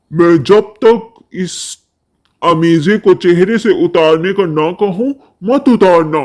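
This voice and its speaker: In a calm tone, a man puts on a cartoonish character voice with a high pitch at a fairly slow pace. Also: ordinary pitch variation. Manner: calm, authoritative.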